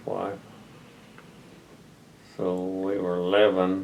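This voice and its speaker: A man with an American accent speaks in a very deep, low voice and a flat monotone over noticeable background noise. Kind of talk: casual interview answer about family history. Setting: home video interview recorded by his grandson.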